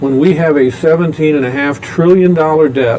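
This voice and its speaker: The pitch varies in an ordinary way, with noticeable background noise behind the voice. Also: man. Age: 60s. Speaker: former state official and politician. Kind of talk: talk show interview. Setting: restaurant recording.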